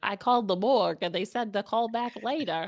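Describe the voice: A woman puts on a nasal character voice, pitched fairly high and delivered at a fairly quick pace.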